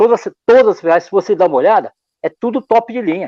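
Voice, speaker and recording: A man talks at a very fast pace. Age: old. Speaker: drum maker. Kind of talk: casual interview. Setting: live stream.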